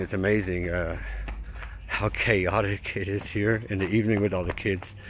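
The sound is dry with no echo. Light background noise can be heard. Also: man. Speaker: vlogger. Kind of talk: casual vlog chat. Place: street. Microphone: phone near.

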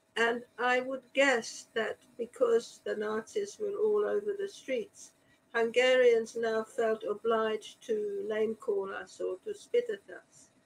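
A woman at a very slow pace, with hardly any pauses. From Hungary, Budapest, then Australia. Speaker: historian and author; panelist. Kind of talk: panel discussion. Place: home room. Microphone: video call.

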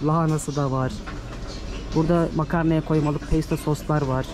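Noticeable background noise sits behind a man whose voice has a fairly high pitch. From Turkey. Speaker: travel vlogger. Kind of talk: vlog narration to camera. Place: shop. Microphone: phone near.

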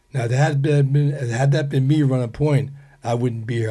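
A man's somewhat breathy, dark, mellow tone at a medium pitch and a fairly quick pace. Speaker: Vietnam war veteran. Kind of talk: casual chat. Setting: studio. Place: studio. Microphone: studio mic.

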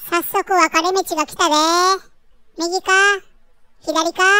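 A put-on character voice speaks at an extremely high pitch and a fairly slow pace, in a monotone with flat intonation. The recording is very clean, with a silent background. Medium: dub. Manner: boastful, playful.

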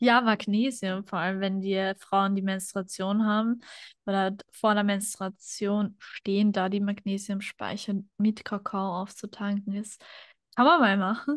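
A woman speaks at a fairly slow pace with fairly even intonation. The sound is dry with no echo, and the background is quiet. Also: medium pitch for a woman. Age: 20s. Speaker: podcast guest. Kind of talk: casual interview conversation. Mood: calm, reflective. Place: home room. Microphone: studio mic.

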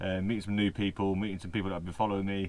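This man's pitch sits fairly low. He speaks at a very fast pace. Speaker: van life vlogger. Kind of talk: casual vlog chat. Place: home room. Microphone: phone near.

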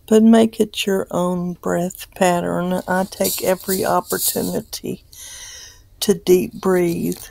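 A woman speaks very slowly in a gentle, calm tone, with a dry sound and no echo. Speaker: meditation guide. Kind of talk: guided meditation. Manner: gentle, calm, unhurried, reassuring; relaxed and encouraging. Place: home room.

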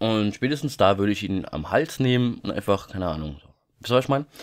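With lively intonation and a fairly low pitch, a man speaks at a moderate pace. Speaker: YouTuber. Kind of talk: casual vlog monologue. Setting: home recording at night. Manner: quieter than usual; many filler sounds.

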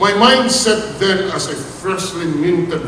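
A man's voice with ordinary pitch variation, audible room echo, and light background noise. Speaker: speaker. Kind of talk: formal commencement speech. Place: hall. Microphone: podium.

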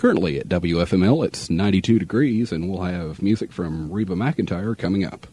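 With an American accent, a man speaks in a very deep, low pitch and a dark, mellow tone, with ordinary pitch variation, a dry sound with no echo, and light background noise. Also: fairly quick pace, hardly any pauses. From Midwestern US. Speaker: radio announcer. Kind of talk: radio DJ air check. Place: studio. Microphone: old recording.

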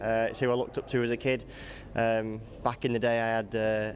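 A man talks at a fairly quick pace with monotone, flat intonation. Light background noise runs underneath. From England. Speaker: motorcycle racer. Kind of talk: casual interview answers. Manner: hesitant, filler words. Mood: relaxed, smiling, friendly. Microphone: handheld.

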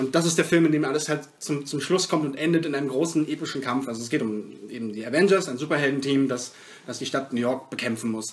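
Very fast talk comes from a man whose pitch is fairly high. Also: ordinary pitch variation. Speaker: film podcast co-host. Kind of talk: casual chat.

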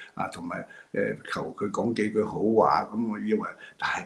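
A man speaks with a Hong Kong accent. His pace is moderate. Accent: Hong Kong Cantonese. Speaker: political commentator. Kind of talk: monologue commentary. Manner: halting, many fillers. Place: home room. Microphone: video call.

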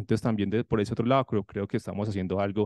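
A man's voice at a very fast pace, with a dry, close sound and no echo. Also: quiet background. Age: 30s. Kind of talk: conference presentation.

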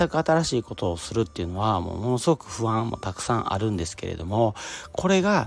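Light background noise sits under a man's voice, which has a dry sound with no echo. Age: 40s. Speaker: podcaster, office worker; podcaster. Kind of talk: solo self-help talk. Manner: casual, many fillers. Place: open country.

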